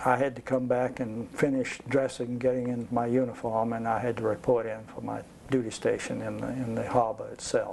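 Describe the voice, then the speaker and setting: A man with an American accent speaks in a monotone, flat intonation at a fairly quick pace with hardly any pauses. Noticeable background noise is present. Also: medium pitch for a man. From US South. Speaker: war veteran. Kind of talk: oral history interview. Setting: home. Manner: halting.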